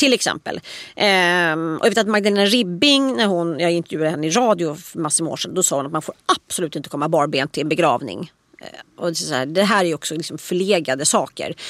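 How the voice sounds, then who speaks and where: Fairly low in pitch, a woman talks at a very fast pace with lively intonation. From Stockholm, Östermalm. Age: 40s. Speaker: author and columnist. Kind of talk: casual chat.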